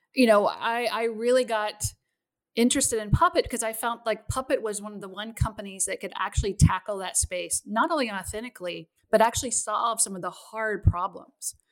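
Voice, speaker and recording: An ordinary speaking voice from a woman, fairly high in pitch, at a fairly quick pace with ordinary pitch variation. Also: very clean recording, silent background. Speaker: chief technology officer. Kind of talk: casual interview chat.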